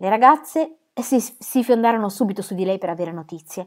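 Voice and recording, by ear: A natural voice reading aloud, ordinary pitch variation, and a quiet background.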